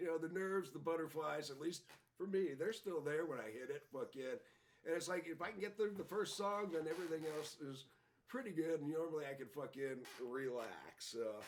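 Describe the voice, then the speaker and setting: Using a plain, everyday voice, a man talks at a fairly quick pace with a fairly high pitch and lively intonation. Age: 60s. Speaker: punk musician. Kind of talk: casual chat. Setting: studio.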